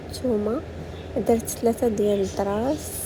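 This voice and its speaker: With a Moroccan accent, a woman speaks in a fairly high voice with fairly even intonation, amid audible room echo and noticeable background noise. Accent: Moroccan Arabic (Darija). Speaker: cooking vlogger. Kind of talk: cooking tutorial. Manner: casual, hesitant with fillers.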